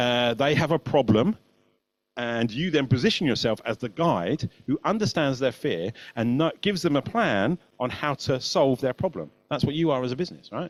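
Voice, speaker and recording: The sound is dry and close, with no echo. The speaker, in a British accent, swings very widely in pitch. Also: man. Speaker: marketing agency creative director. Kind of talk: webinar presentation. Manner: fast.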